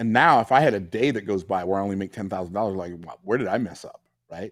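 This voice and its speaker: With an American accent, a man talks very fast at a fairly low pitch with ordinary pitch variation, on a very clean recording with a silent background. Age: 60s. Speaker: business coach and entrepreneur. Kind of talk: interview.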